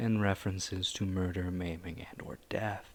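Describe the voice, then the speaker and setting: A somewhat breathy man at a fairly low pitch and a moderate pace, in a very clean recording with a silent background. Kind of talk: casual talk to camera.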